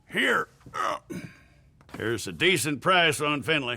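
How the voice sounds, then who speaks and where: In a raspy, put-on character voice, a man speaks fairly slowly at a fairly high pitch. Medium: video game. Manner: gruff, offhand.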